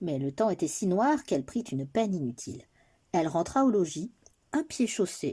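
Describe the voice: The recording consists of plain reading aloud.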